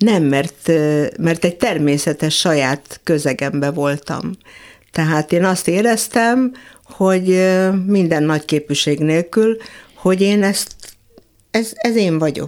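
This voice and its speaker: A woman speaks at a very slow pace in a fairly low voice, with lively intonation and very even loudness. Long, frequent pauses run through her speech. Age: 70s. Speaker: magician and fashion designer. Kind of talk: casual chat. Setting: studio. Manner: halting.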